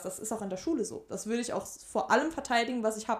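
A woman's fairly high voice at a very fast pace. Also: very clean recording, silent background. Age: 20s. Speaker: student teacher and tutor. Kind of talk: casual chat.

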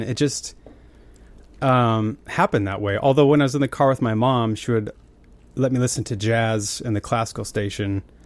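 A plain, everyday voice with an American accent and ordinary pitch variation. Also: man. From Montana, US (Billings area). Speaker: musician and tech founder. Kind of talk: casual chat.

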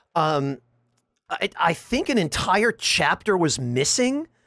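At a very slow pace, a man speaks in a high pitch. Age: 30s. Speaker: content creator and game guide writer. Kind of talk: casual chat. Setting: video call.

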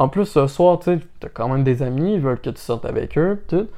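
A man with a Quebec accent, fairly high pitch and a fairly quick pace against a quiet background. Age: 20s. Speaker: podcast co-host. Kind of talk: casual chat.

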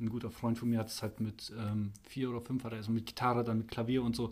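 A man talks at a fairly quick pace in a medium pitch. His delivery is monotone and flat, and somewhat breathy. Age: 30s. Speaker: electrician and church musician, podcast guest. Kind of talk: casual interview. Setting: church building after a service. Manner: hesitant, many fillers.

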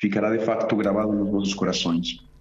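Audible room echo surrounds a man with a Spanish accent. He speaks at a moderate pace in a fairly low pitch. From Colombia, Medellín. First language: Spanish (speaking Portuguese). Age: 20s. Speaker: seminarian about to be ordained deacon. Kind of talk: radio interview.

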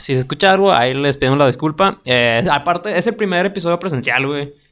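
A man speaks at a moderate pace. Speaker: podcast co-host. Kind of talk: casual chat. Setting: studio.

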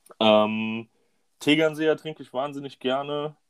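His pitch varies in an ordinary way. The man uses a normal speaking voice. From Hunsrück, western Germany. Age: 20s. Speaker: women's football coach. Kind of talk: casual chat.

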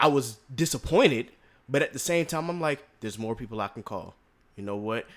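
On a very clean recording with a silent background, a man with an ordinary speaking voice talks at a fairly quick pace, medium in pitch, with lively intonation. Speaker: podcast host. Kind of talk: casual interview.

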